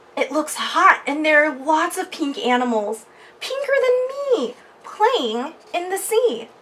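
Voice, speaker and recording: Using a put-on character voice, a woman speaks at a fairly slow pace with an extremely high pitch and very wide pitch swings. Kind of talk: bedtime story. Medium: read story.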